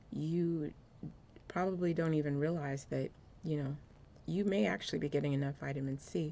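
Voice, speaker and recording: A soft-spoken woman with a very deep, low pitch and a dark, mellow tone, at a moderate pace with ordinary pitch variation and long, frequent pauses. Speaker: apparel designer and lifestyle vlogger. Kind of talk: casual vlog talk to camera. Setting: cold room at home. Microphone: new external microphone.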